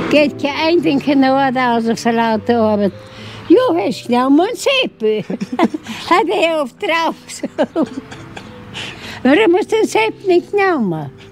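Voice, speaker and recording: With a high pitch and very wide pitch swings, a woman speaks at a very slow pace, taking long, frequent pauses over noticeable background noise. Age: 80s+. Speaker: centenarian interviewee. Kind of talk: interview. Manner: halting.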